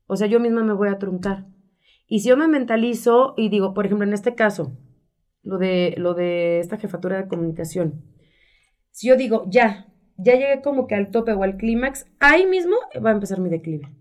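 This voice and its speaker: Her pitch medium and her intonation lively, a woman talks at a moderate pace in a plain, everyday voice. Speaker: radio announcer and communications professional. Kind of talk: interview.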